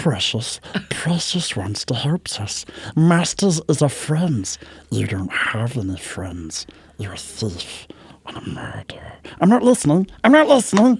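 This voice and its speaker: A put-on character voice from a man, fairly high in pitch and hissing, at a moderate pace. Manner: hissing, wheedling.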